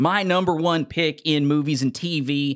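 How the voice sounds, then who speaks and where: On a very clean recording with a silent background, a man talks at a fairly slow pace in a fairly high pitch, with an animated tone and ordinary pitch variation. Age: 30s. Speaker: podcast host. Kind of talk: casual chat. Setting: studio.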